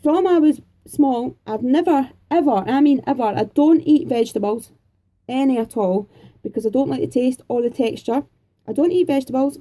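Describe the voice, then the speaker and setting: In a Scottish accent, a woman with a high pitch and a dark, mellow tone talks at a fairly quick pace with ordinary pitch variation. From Scotland, Edinburgh. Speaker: craft YouTuber. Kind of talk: Q&A vlog, casual chat.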